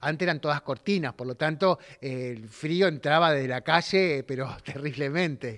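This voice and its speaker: Against a quiet background, a man speaks with a fairly high pitch. His pace is moderate and his pitch variation ordinary. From Argentina. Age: 60s. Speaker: theatre director. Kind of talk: interview. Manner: halting. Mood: warm, amused storytelling. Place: home room. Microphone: handheld.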